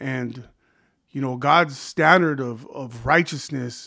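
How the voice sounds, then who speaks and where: A man with an American accent and an ordinary speaking voice, fairly high in pitch, fairly slow, with fairly even intonation, in a very clean recording over a silent background. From California. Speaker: pastor. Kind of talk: casual chat.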